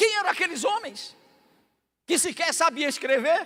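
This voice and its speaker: In a raised, projected voice, a man speaks with lively intonation and a bright, sharp tone. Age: 60s. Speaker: pastor. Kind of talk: sermon.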